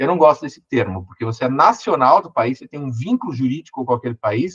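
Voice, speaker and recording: A man with a Brazilian accent talks at a fairly quick pace and a medium pitch. The sound is dry and close, with no echo. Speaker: lawyer and law professor. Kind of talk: online lecture. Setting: online event. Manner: fast.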